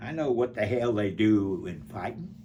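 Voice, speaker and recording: In an Alabama accent, a man speaks at a very slow pace with very wide pitch swings. Audible room echo surrounds his voice. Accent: Southern US (Alabama). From US South. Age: 90s. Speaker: war veteran. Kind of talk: interview. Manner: halting.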